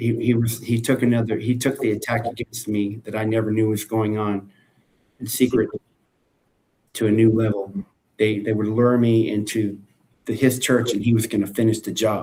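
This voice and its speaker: With an American accent, a man speaks at a moderate pace in a somewhat breathy, dark, mellow tone, his intonation monotone and flat, broken by long, frequent pauses. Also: medium pitch for a man. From France, then United States. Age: 60s. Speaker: preacher. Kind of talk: live video chat.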